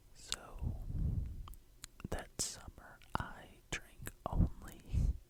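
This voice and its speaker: A man whispering over noticeable background noise. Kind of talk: ASMR nostalgic rambling. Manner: whispered; soft-spoken.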